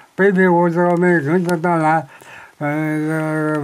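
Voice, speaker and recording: A man talks in a fairly high-pitched voice. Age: 80s+. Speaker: war veteran. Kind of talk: interview answer.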